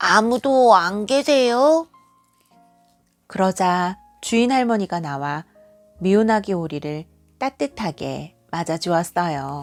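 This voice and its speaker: Speaking very slowly, a woman with a medium-pitched voice makes very wide pitch swings. She leaves long, frequent pauses, and music plays in the background. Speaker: kindergarten teacher; award-winning storyteller. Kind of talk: bedtime story reading to a child. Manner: expressive storytelling with character voices.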